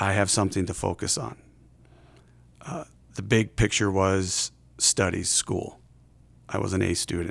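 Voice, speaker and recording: In an American accent, a man with a very deep, low pitch and vocal fry speaks with long, frequent pauses. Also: ordinary pitch variation, moderate pace. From Iowa, US Midwest. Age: 40s. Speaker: state legislator sharing mental health story. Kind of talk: personal testimony. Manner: halting, many fillers and restarts.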